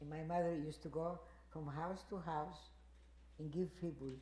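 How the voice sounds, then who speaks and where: A woman with a Greek accent speaks at a moderate pace, with audible room echo. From Greece. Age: 80s+. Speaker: Holocaust survivor. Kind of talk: testimony. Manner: halting.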